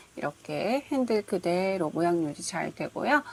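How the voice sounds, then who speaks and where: The delivery is fairly slow, with very wide pitch swings. Noticeable background noise can be heard. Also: woman. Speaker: crochet tutorial creator. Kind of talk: tutorial.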